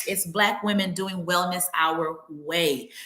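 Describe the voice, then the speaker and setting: There is audible room echo around a woman speaking at a fairly low pitch. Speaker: wellness practitioner and podcaster. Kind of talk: podcast monologue. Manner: conversational, with fillers.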